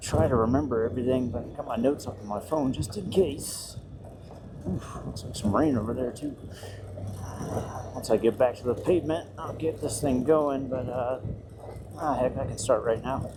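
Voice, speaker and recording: The speech has long, frequent pauses over noticeable background noise. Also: moderate pace. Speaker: motovlogger. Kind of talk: casual monologue while riding. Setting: riding a motorcycle, helmet mic. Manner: many fillers, hesitant. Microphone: poor audio quality.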